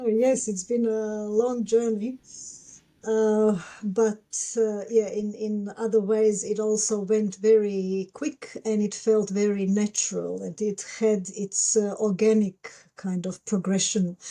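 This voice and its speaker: Very slowly, a woman speaks in a fairly high voice with a dark, mellow tone and monotone, flat intonation. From Croatia. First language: Croatian. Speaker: psychologist and constellations facilitator. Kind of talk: interview conversation. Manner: halting, many fillers.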